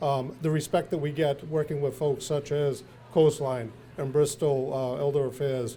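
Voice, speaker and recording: Monotone, flat delivery at a moderate pace with an American accent, a dark, mellow tone and a somewhat breathy sound. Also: man, fairly high pitch for a man. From central Massachusetts. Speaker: health plan executive. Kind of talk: speech at a community event. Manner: halting, many filler words.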